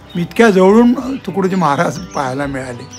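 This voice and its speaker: Music is playing in the background. Over it, a man talks. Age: 70s. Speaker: author and Gandhian. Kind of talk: interview answer.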